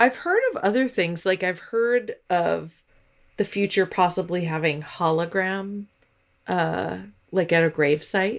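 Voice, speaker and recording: An ordinary speaking voice from a woman, medium in pitch with ordinary pitch variation, fairly slow and very even in loudness, on a very clean recording with a silent background. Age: 40s. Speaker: podcast co-host. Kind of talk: casual chat.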